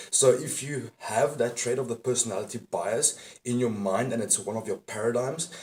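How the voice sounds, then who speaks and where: This is a normal speaking voice with a moderate pace and ordinary pitch variation. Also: man, medium pitch for a man. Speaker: dating and self-improvement coach. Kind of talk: motivational talk to camera. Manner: casual, profane.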